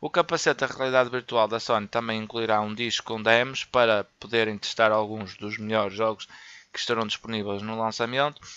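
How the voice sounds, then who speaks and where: A man with a European Portuguese accent speaks fairly quickly at a medium pitch with fairly even intonation and a bright, sharp tone, the sound dry and close with no echo. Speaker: gaming YouTuber. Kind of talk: news reading; casual commentary. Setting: voice-over on gameplay footage. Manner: halting, with fillers and repetitions.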